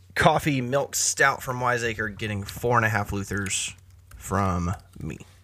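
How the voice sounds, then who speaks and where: A man with a bright, sharp tone, fairly low pitch, ordinary pitch variation and an American accent. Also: fairly slow pace. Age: 30s. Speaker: podcast co-host. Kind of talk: casual chat.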